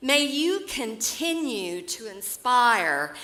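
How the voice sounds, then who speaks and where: A woman's high voice in an Oklahoma accent, very slow, with very wide pitch swings. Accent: Oklahoma rural Southern US. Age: 80s+. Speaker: award recipient, businesswoman. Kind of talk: keynote speech. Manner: heartfelt, formal.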